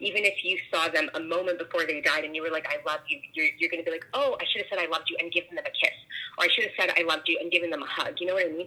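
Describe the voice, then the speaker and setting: Over noticeable background noise, a woman talks very fast at a fairly low pitch with fairly even intonation. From Toronto, Canada. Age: 30s. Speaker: guest. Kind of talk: casual phone chat interview.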